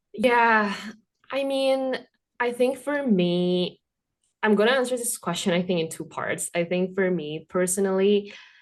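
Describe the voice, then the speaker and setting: A woman with a non-native accent talks at a fairly slow pace. Her medium pitch carries lively intonation. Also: quiet background. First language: not English. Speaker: immigrant MBA student. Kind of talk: casual interview chat.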